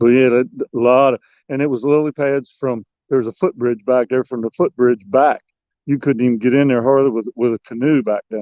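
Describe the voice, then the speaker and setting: A man's medium-pitched voice with an American accent, fairly even intonation and a fairly quick pace. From Maryland Eastern Shore, Dorchester County. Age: 60s. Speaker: fishing guide and angler. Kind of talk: casual interview. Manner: halting, repeats words.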